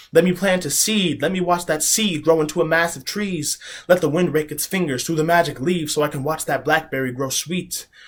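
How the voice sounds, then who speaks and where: A man's normal speaking voice in an American accent, fairly high in pitch with ordinary pitch variation, at a fairly quick pace. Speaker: spoken word poet. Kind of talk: spoken word poetry performance.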